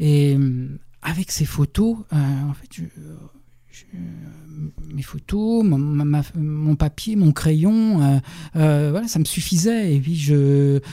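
Long, frequent pauses punctuate very slow speech whose pitch varies in an ordinary way. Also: man, fairly high pitch for a man. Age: 50s. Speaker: journalist and novelist. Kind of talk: radio interview. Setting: radio studio. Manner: halting, many repetitions and hesitations.

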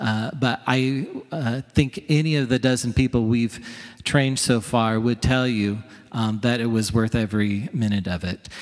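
His pitch shows ordinary variation. A man talks at medium pitch. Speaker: pastor. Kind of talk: announcement. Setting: church. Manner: halting.

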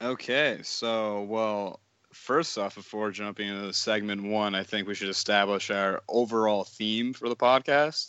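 With hardly any pauses, a man speaks at a fairly slow pace. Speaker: podcast co-host. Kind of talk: casual chat. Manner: animated.

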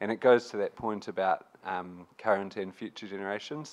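In a New Zealand accent, a man speaks with ordinary pitch variation. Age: young. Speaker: youth advocacy group representative. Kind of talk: panel discussion. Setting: stage with audience.

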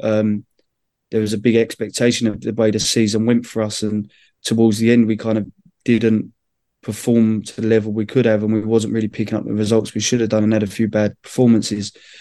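A man with a London accent speaks at a fairly quick pace in a fairly low pitch, his dark, mellow tone held in a monotone, flat intonation. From London, England. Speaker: women's football manager, former footballer. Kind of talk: interview.

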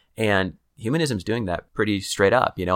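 A man with an American accent talks at a fairly quick pace, in a normal speaking voice with a fairly low pitch and ordinary pitch variation. The recording is very clean, with a silent background. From Kansas City. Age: 30s. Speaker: author and church leader. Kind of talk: interview conversation. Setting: in-person recording.

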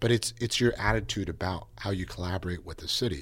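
On a very clean recording with a silent background, a man with an American accent speaks fairly quickly in a very deep, low, somewhat breathy voice with ordinary pitch variation. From Napa, California. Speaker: county politician. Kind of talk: interview.

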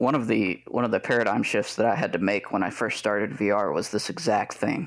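This man has an unremarkable speaking voice, fairly low in pitch with ordinary pitch variation, captured on a very clean recording with a silent background. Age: 30s. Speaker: flight sim VR modder. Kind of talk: casual chat.

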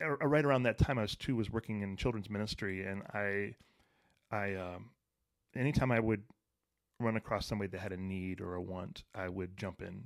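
This man's voice sits at a fairly low pitch and moves at a moderate pace. The recording is very clean, with a silent background. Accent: American. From Detroit, Michigan. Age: 40s. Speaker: author and mental health speaker. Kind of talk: casual interview chat. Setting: studio.

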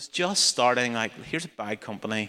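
The recording is very clean with a silent background as a man with a Northern Irish accent speaks in a bright, sharp tone. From Northern Ireland. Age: 40s. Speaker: charity founder and speaker. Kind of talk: talk in a church service.

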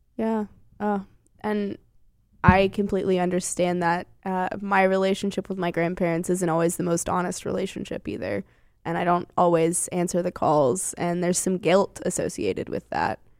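A normal speaking voice is heard. It keeps its intonation fairly even. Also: woman, medium pitch for a woman, moderate pace. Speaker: radio host. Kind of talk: casual chat.

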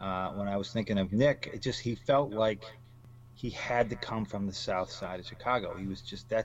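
A man with an American accent speaks in a plain, everyday voice, his fairly low pitch held to fairly even intonation at a moderate pace. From Michigan, US Midwest. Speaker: crime novelist. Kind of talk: interview.

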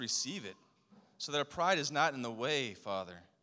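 Vocal fry, a bright, sharp tone and lively intonation at a fairly quick pace. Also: man. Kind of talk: fervent prayer. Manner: halting, repeating words.

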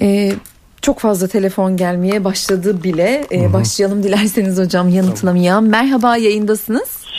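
A normal speaking voice from a woman, at a moderate pace with fairly even intonation and very even loudness. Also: medium pitch for a woman. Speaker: radio host. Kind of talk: radio call-in show. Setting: studio.

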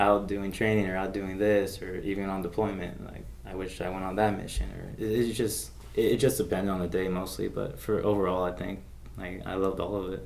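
Fairly quickly and with ordinary pitch variation, a man with an American accent talks in a very deep, low voice. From Las Vegas, US. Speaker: army combat medic, veteran. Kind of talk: interview. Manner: hesitant, many fillers.

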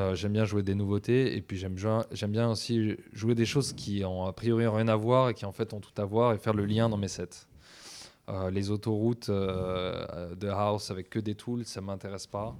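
In a very clean recording with a silent background, a man talks at a moderate pace in an ordinary speaking voice, his pitch fairly low and his intonation fairly even. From French provinces. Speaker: DJ and music producer. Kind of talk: long-form interview.

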